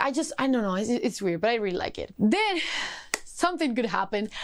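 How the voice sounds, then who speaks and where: Animated and very fast, a woman speaks in a fairly high pitch with a non-native accent. Her intonation is lively. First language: not English. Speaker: book YouTuber. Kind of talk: casual book review vlog.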